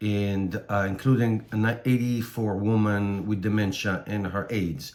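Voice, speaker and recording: A man with an Israeli accent, fairly low in pitch, with fairly even intonation. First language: Hebrew. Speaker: electric car youtuber. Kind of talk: vlog commentary. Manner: halting.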